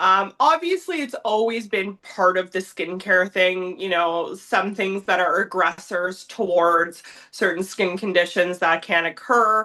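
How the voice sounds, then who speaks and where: A woman with a Canadian accent in a bright, sharp tone, at a fairly slow pace with hardly any pauses and ordinary pitch variation. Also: medium pitch for a woman. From Southwestern Ontario, Canada. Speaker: nutritionist and advanced esthetician. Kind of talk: casual interview chat.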